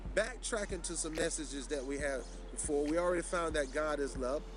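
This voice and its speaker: A man talks at a fairly quick pace with a Southern US accent. Room echo is audible. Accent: Southern US country. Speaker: television preacher. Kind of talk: sermon. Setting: outdoors in a park.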